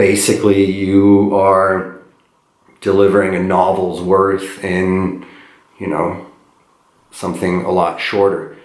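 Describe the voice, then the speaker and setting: A man's very deep, low voice in a flat monotone, very slow with long, frequent pauses and audible room echo. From Eastern Europe. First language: not English; third language, born in Eastern Europe. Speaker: poet. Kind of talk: casual talk to a class. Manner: halting, many fillers and repeats.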